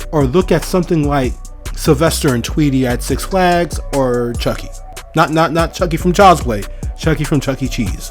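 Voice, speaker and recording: Background music accompanies speech that moves at a moderate speed. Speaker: movie reviewer. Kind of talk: casual movie review commentary.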